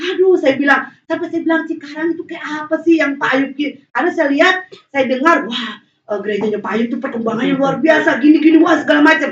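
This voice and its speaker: At a very fast pace, a woman speaks in a high pitch. Her pitch variation is ordinary. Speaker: guest preacher. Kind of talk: sermon. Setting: church. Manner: animated.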